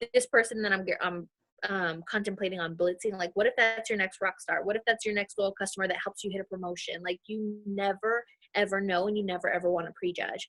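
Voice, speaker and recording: A woman with an American accent talks at a fairly quick pace in a medium-pitched voice. Her intonation is monotone and flat, and the sound is dry and close with no echo. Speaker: network marketing team leader. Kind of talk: team video call talk. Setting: video call. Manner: loud; casual, filler-heavy.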